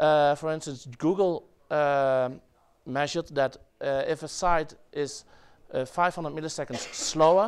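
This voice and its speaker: A man at a fairly slow pace, on a very clean recording with a silent background. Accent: Dutch. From Netherlands. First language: Dutch. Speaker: web developer presenter. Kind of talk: conference talk. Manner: halting, many fillers.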